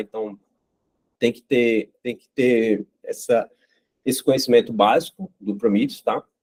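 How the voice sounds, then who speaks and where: A man talks in a dark, mellow tone. The sound is dry and close, with no echo. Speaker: site reliability engineer giving a talk. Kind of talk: technical talk. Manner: fast; halting, many fillers.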